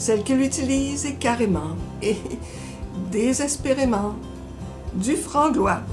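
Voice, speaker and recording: A woman talks very slowly, leaving long pauses often, while music plays behind her. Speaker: library book reviewer. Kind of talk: book recommendation segment to camera.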